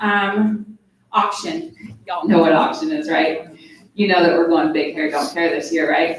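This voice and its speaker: A woman's voice at a moderate pace, with ordinary pitch variation and audible room echo. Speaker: school foundation fundraiser. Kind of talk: presentation at parent forum. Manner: animated.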